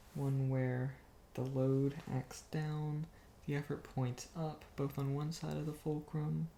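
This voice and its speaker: Soft-spoken and calm, a man talks very slowly in a fairly high, somewhat breathy voice. His tone is dark and mellow, and his intonation is monotone and flat. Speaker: ASMR creator. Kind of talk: ASMR bedtime reading of an engineering book. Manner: soft-spoken, calm.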